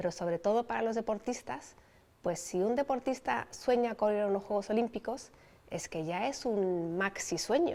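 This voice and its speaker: A woman with an ordinary speaking voice, fairly high in pitch, with lively intonation at a moderate pace. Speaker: Olympic sailing champion. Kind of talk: interview answer.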